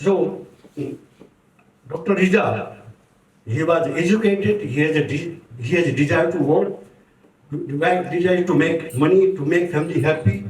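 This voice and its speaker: Over audible room echo, a man speaks at a moderate pace with a fairly high pitch and ordinary pitch variation. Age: 70s. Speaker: community speaker. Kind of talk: tribute speech. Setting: book launch event with audience.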